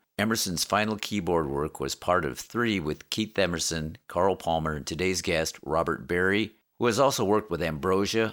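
On a very clean recording with a silent background, a man with a very deep, low pitch speaks at a moderate pace using lively intonation. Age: 60s. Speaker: podcast host. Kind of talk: scripted intro; casual interview chat.

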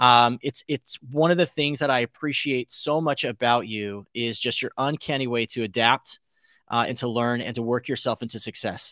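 A man with a Californian accent talks at a moderate pace and medium pitch, his tone bright and sharp with ordinary pitch variation. The recording is very clean, with a silent background and a dry, close sound with no echo. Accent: Californian American. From US West Coast (Los Angeles area). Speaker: podcast host. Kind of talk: interview.

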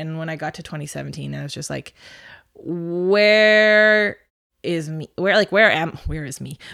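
Speaking with an unremarkable speaking voice, a woman uses a fairly low pitch and a moderate pace. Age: 30s. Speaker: jazz trumpet player and singer. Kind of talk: casual chat.

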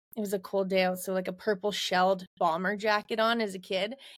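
A woman with a Canadian Prairies accent, medium in pitch, at a moderate pace, in a dry, close sound with no echo. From Alberta, Canada. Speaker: rodeo queen and social media influencer. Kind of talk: interview.

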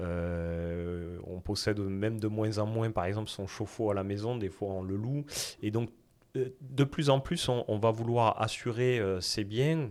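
A man talks with a fairly low pitch and ordinary pitch variation. The recording is very clean and the background silent. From southwest France. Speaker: insurtech startup founder. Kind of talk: interview.

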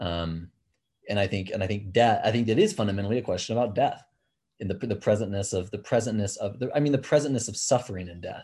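Speaking at a very fast pace over a quiet background, a man with a fairly low, somewhat breathy voice shows ordinary pitch variation and big swings in loudness. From Kenya. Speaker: mountain guide and outdoor educator. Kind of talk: casual chat. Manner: halting.

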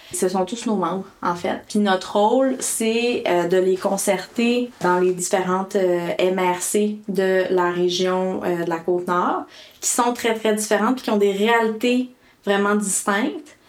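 A woman talks very slowly, her medium pitch showing ordinary pitch variation against noticeable background noise. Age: 20s. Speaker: community liaison officer. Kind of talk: interview.

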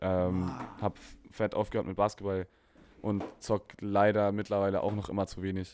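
Against a very clean recording with a silent background, a man with a fairly low voice speaks in a monotone, flat intonation, leaving long, frequent pauses. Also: moderate pace. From Konstanz, southern Germany. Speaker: musician. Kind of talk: casual chat.

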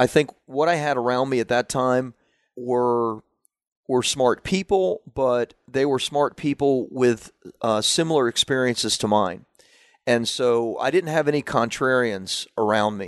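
At a fairly slow pace, a man with an American accent speaks at medium pitch with ordinary pitch variation in an unremarkable speaking voice, the sound dry and close with no echo over a quiet background. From US South, Central Florida. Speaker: marketing expert and publisher. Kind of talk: interview conversation.

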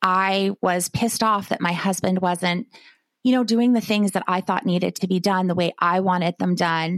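A woman with an ordinary speaking voice talks at a moderate pace, her medium-pitched voice holding fairly even intonation. The sound is dry and close with no echo. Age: 40s. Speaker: life coach. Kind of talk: casual chat.

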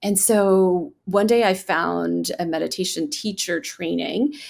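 A woman speaks at a medium pitch. Her voice has vocal fry. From India, Bangalore. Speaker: physician and meditation teacher.

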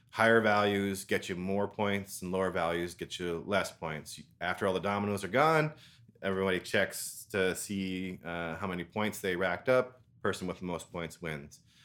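A man with a Canadian accent, very deep and low in pitch, with ordinary pitch variation at a moderate pace, in a very clean recording with a silent background. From Ontario, Canada. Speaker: language exchange co-host and gamer. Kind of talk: casual chat, interview.

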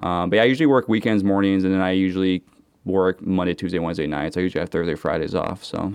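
Very fast speech in an American accent. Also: man, very deep, low pitch for a man, ordinary pitch variation. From Seattle, US Pacific Northwest. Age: 30s. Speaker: student and former commercial diver. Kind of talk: casual chat.

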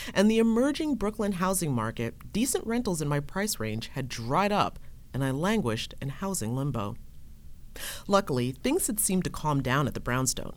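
This woman has an American accent and a fairly low pitch. Her voice makes very wide pitch swings. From New York State, Hudson Valley (Ulster County). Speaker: podcast host and reporter. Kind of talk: personal storytelling.

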